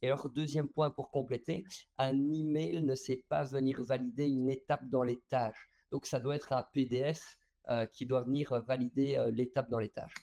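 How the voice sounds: A man talks at a moderate pace with vocal fry, a dark, mellow tone, and a medium pitch that moves very little.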